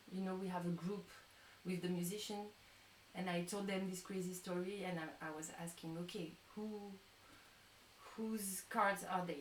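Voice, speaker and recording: A woman speaks at a medium pitch and moderate pace, her intonation monotone and flat, with long, frequent pauses. Noticeable background noise and audible room echo fill the recording. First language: not English. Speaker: tarot reader and musician. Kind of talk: live-stream chat. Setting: live stream. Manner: halting.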